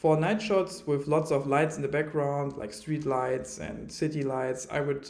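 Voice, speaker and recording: Amid audible room echo, a man with a German accent speaks at a moderate pace with a fairly high pitch, fairly even intonation and a dark, mellow tone. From Germany. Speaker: filmmaker reviewing camera gear. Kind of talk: product review. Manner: hesitant, many fillers.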